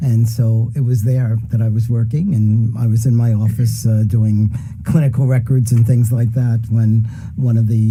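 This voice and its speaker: A man speaks at a medium pitch in a flat monotone, with audible room echo and noticeable background noise. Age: 70s. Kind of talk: casual chat. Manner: halting.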